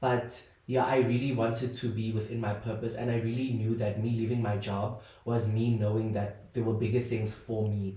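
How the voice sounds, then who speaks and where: A man speaks at a moderate pace and medium pitch in a flat monotone. There is audible room echo and noticeable background noise. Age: 20s. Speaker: podcast host and content creator. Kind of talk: casual solo podcast monologue. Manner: hesitant, many fillers.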